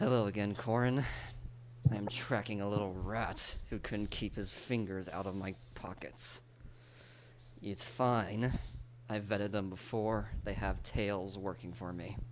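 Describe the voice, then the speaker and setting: Putting on a character voice, a raspy man speaks at a moderate pace and fairly low pitch with fairly even intonation, long, frequent pauses and clear background noise. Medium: actual play. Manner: formal, measured.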